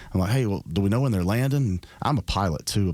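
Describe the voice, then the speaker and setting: A man with a Southern accent talks at a very fast pace, his fairly low pitch carried by lively intonation. The recording is very clean, with a silent background. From south Georgia, US South. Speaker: state senator and political candidate. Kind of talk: radio interview. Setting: studio.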